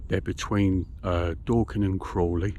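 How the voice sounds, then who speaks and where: A man's very deep, low voice, somewhat breathy. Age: 60s. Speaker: fishing vlogger. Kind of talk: casual vlog talk to camera. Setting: outdoors by a lake. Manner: cheerful, chatty.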